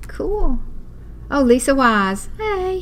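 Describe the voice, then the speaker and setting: A woman with a Southern accent, amid noticeable background noise. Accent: Southern, says y'all. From US South (Walker County). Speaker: craft teacher. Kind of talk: live online class tutorial. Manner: chatty, animated.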